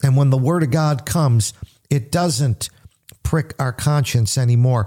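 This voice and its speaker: A man's medium-pitched, dark, mellow, somewhat breathy voice with an American accent, at a moderate pace. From US Northeast, grew up in a Little Italy neighbourhood. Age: 60s. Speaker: pastor and radio host. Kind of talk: radio Bible teaching.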